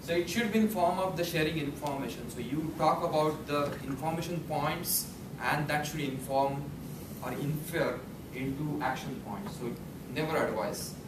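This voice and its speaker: The room has an audible echo and noticeable background noise. A man talks at a moderate pace with ordinary pitch variation. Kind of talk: prepared speech. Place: meeting room. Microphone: camera far.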